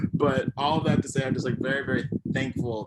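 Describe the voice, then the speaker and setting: The man's speech moves fairly quickly. Noticeable noise sits behind it. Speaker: emerging theater artist and musician. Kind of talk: award acceptance speech. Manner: halting.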